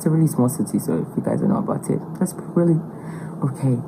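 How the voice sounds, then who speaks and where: Noticeable background noise lies beneath a woman whose pitch varies in an ordinary way. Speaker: podcast interviewee. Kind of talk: casual chat.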